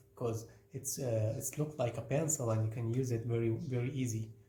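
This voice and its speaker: A man with a non-native accent speaks in a fairly even intonation. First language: not English. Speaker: craft teacher. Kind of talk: tutorial. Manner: halting, many fillers.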